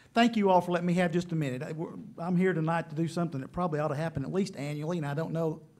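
A man speaks with ordinary pitch variation. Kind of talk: public meeting presentation. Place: meeting room. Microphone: podium.

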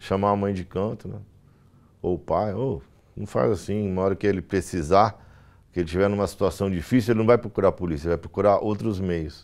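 This man talks at a fairly quick pace with a fairly low pitch and ordinary pitch variation. He has a normal speaking voice. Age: 40s. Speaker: military police officer. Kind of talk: interview testimony; interview answer. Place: studio.

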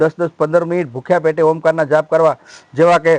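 A man speaks in a high pitch. The sound is dry and close, with no echo. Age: 50s. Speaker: ascetic monk and ayurvedic healer. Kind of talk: interview. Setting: outdoor health camp at a shrine.

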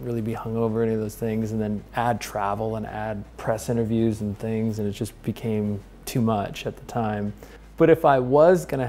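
A male speaker at a moderate speed. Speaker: interviewee. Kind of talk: interview answer. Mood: relaxed, amused. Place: kitchen. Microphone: lapel.

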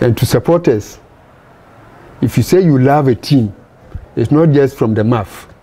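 A man talks at a moderate pace, leaving long, frequent pauses. His voice is somewhat breathy with a dark, mellow tone and ordinary pitch variation. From Ghana, Ashanti; Ghana. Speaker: former footballer. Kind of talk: interview. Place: home room.

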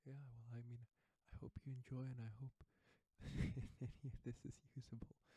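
Soft-spoken and somewhat breathy, a man talks at a fairly slow pace in a dark, mellow tone with monotone, flat intonation and long, frequent pauses, the sound dry with no echo and the background quiet. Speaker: ASMR creator. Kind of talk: soft spoken ASMR intro. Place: home room.

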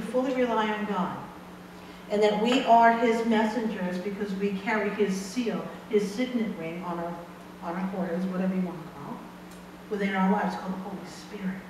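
Loudness swings widely as a woman talks at a fairly quick pace with ordinary pitch variation, amid noticeable background noise and audible room echo. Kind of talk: sermon. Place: church. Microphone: camera far.

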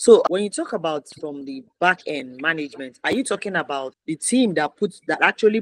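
A woman talks at a moderate pace, her tone animated and her intonation lively. The sound is dry with no echo, and the background is quiet. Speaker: media talk show host. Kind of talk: interview. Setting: video call. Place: home room. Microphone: webcam.

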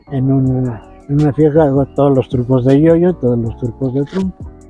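Clear music plays in the background. A man speaks over it at a fairly slow pace. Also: dry sound with no echo. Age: 70s. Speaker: yoyo and spinning top performer. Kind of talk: interview answer. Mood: warm, fond. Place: street. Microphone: lapel.

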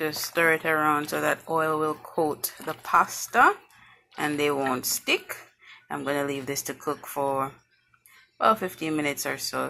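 Long, frequent pauses break up the speech against light background noise. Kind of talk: casual cooking tutorial. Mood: relaxed, homely. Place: kitchen. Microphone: phone near.

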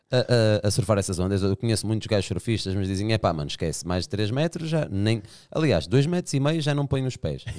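Against a quiet background, a man with a fairly low pitch talks with very wide pitch swings. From Portugal. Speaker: podcast host. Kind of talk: casual chat. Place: studio. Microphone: studio mic.

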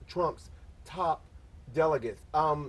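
Somewhat breathy, a man talks at a moderate pace. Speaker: talk show host. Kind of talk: talk show discussion. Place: studio.

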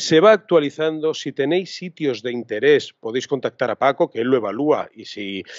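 Lively intonation at a moderate pace comes through a dry sound with no echo and a quiet background. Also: man. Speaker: podcast host, photography teacher. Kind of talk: casual chat. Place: home room. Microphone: studio mic.

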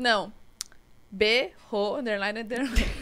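This woman's tone is bright and sharp. She speaks at a fairly slow pace. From Brazil. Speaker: podcast host. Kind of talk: casual chat. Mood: cheerful, casual. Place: studio. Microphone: studio mic.

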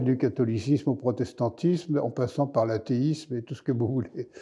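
With a dark, mellow tone, a man talks at a fairly slow pace and ordinary pitch variation over a quiet background. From Paris (Montmartre); Paris. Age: 70s. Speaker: historian. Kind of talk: interview. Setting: studio. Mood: calm, warm, amused. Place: studio.

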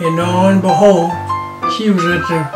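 Loud background music beneath a male voice. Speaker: retired architect and artist; army veteran. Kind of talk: interview answer, life story. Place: home room.

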